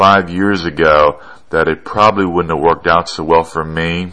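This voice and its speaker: A male voice keeps a moderate tempo. Background noise is clearly present. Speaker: radio host. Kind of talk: casual talk show monologue. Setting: talk show. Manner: rambling, hesitant, conversational.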